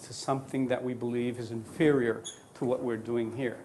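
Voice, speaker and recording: A man speaks at a moderate pace in a Spanish accent. His intonation stays fairly even. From Colombia. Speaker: neonatologist lecturer. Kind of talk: lecture. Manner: halting.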